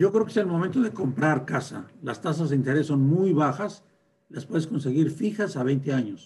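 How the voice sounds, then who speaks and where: An unremarkable speaking voice from a man, fairly high-pitched, with lively intonation. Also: moderate pace. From northern Mexico (Durango, raised in Torreón). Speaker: bank founder and president. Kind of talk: interview.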